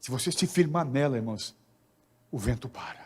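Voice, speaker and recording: A man talks at a fairly slow pace with a fairly high pitch. His intonation is lively and his voice is somewhat breathy. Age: 60s. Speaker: pastor. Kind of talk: sermon.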